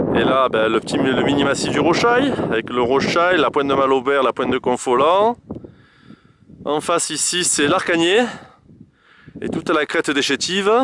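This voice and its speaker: Lively intonation and a moderate pace mark this man's fairly high voice, broken by long, frequent pauses. Noticeable background noise sits behind him. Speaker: hiker filming a summit panorama. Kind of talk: casual on-the-spot narration. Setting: outdoors on a mountain summit. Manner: loud; halting, many fillers.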